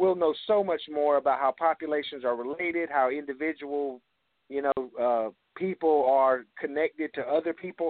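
This man has a fairly high pitch and a Southern US accent. His pitch varies in an ordinary way. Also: moderate pace. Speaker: author and historian of Indian descendant communities. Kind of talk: radio interview.

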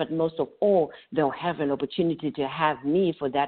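Her pitch very deep and low, a woman keeps a moderate pace and ordinary pitch variation. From Zimbabwe. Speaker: psychotherapist. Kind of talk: interview.

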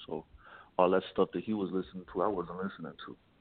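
A man with an American accent, very deep and low in pitch, very fast and monotone, with flat intonation. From Jacksonville, Florida, US South. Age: 30s. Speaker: rapper. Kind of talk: interview.

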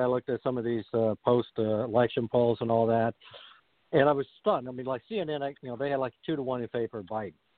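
A man is speaking. His pace is fairly quick. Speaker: radio host and author. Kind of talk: talk radio interview. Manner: halting, many fillers.

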